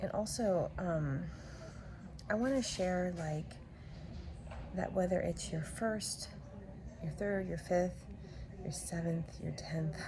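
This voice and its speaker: A woman speaks quietly at a very slow pace with long, frequent pauses. Noticeable background noise and audible room echo surround her voice. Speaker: vlogger, mother of a large family. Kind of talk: casual vlog. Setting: at home. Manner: quiet, hushed; hesitant, many fillers.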